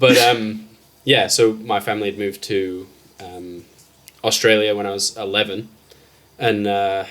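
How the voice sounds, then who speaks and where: This man has a fairly low pitch and a slight English accent, speaking at a moderate pace in a monotone, flat intonation. His loudness swings widely, and long, frequent pauses occur often. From England. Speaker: fishing enthusiast. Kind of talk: casual chat.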